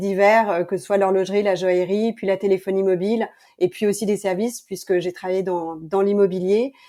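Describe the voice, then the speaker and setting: A woman's medium pitch at a moderate pace in a plain, everyday voice. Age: 40s. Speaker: entrepreneur, brand founder. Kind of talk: podcast interview.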